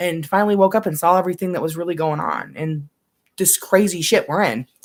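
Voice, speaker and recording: Talking at a very fast pace, a woman speaks with a fairly low pitch and ordinary pitch variation. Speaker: vlogger. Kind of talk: casual monologue.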